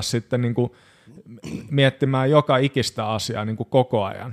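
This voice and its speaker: A normal speaking voice from a man, medium in pitch, at a fairly slow pace, with a dry, close sound with no echo. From Finland, Hamina (Kymenlaakso). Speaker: progressive metal drummer. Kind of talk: casual chat.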